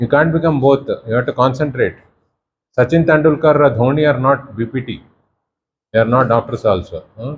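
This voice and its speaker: A man with a fairly high pitch speaks in a somewhat breathy way. His pace is fairly quick, broken by long, frequent pauses. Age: 60s. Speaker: professor. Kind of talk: lecture. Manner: animated.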